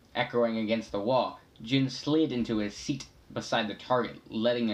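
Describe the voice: Fairly even intonation in plain reading aloud.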